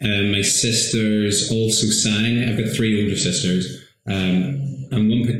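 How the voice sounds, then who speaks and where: Speaking at a very slow pace, a man keeps a fairly even intonation in a fairly low pitch. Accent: Northern Irish. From Northern Ireland, County Tyrone. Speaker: stage actor and singer. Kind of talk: casual interview.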